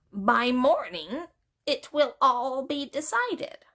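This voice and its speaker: A woman uses a put-on character voice, high in pitch. She speaks at a fairly slow pace. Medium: read story. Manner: earnest, polite, wistful.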